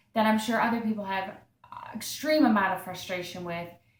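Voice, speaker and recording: Ordinary pitch variation in an American accent, with audible room echo. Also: woman. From Massachusetts. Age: 30s. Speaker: video blogger with Parkinson's disease. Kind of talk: personal testimony monologue. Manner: hesitant, many fillers.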